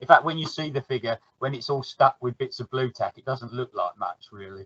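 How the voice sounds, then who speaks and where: Speaking at a fairly quick pace, a man with a plain, everyday voice of medium pitch shows ordinary pitch variation and big swings in loudness. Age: 60s. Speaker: miniature painter. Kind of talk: casual chat.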